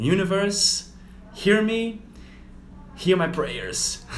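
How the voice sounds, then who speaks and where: A man talks at a fairly slow pace. Noticeable background noise and audible room echo are present. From Brazil (Rio de Janeiro). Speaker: yoga teacher. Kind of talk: casual livestream talk.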